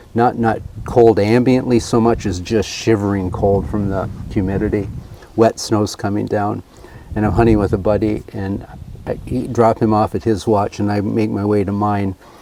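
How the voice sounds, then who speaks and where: Over noticeable background noise, a man speaks at a moderate pace in a fairly low, flat monotone. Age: 70s. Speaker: historical reenactor and hunter. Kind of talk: casual chat.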